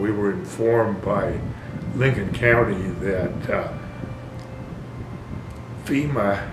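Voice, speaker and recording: Noticeable background noise runs under this recording. A man speaks with a fairly low pitch and fairly even intonation. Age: 80s+. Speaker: property owner. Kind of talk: interview answer.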